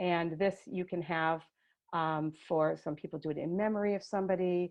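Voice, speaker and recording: A woman speaks at a moderate pace in an ordinary speaking voice, with a fairly low pitch and fairly even intonation. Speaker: education staff presenting a webinar. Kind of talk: tutorial. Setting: video call webinar.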